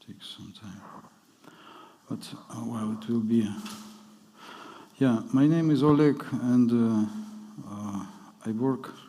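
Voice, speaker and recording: Amid noticeable background noise and audible room echo, a man speaks at a very slow pace with long, frequent pauses and big swings in loudness. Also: medium pitch for a man, ordinary pitch variation. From Ukraine. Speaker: journalist. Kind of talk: conference talk. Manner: halting.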